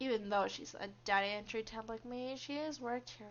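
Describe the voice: The whole recording consists of plain reading aloud.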